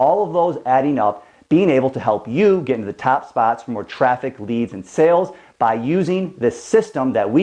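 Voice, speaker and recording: A man's dark, mellow voice sits at medium pitch but swings very widely in pitch. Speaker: SEO agency owner and trainer. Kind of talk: tutorial. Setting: studio. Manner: fast.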